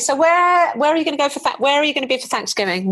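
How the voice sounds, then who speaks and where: This voice speaks with an English accent and swings very widely in pitch. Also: woman. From England. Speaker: podcast host. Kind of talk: podcast interview.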